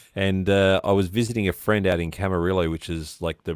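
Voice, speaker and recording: A man with an Australian accent, very deep and low in pitch, fairly quick and fairly even in intonation, on a very clean recording with a silent background and a dry, close sound with no echo. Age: 40s. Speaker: live stream interview host. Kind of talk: casual chat.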